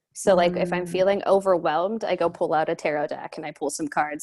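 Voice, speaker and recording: A woman's plain, everyday voice, fairly low in pitch and fairly quick, with fairly even intonation. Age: 20s. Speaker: life and career coach. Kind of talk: casual interview chat.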